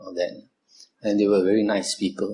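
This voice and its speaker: Here a man speaks with a Malaysian accent. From Malaysia, Kuala Lumpur. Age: 70s. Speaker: Buddhist monk. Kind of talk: dharma talk to youth group. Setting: talk to audience. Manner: frequent filler 'uh'.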